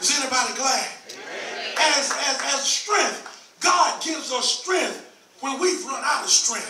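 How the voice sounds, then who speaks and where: A man speaks at a fairly slow pace in an extremely high voice with ordinary pitch variation. Noticeable background noise and audible room echo fill the recording. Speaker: preacher. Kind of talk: sermon. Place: church. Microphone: camera far.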